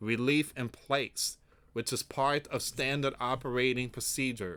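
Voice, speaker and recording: On a very clean recording with a silent background, a man speaks at a fairly slow pace with a medium pitch, a bright, sharp tone and fairly even intonation. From raised outside the US, born in US. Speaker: news commentary youtuber. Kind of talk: news reading with commentary.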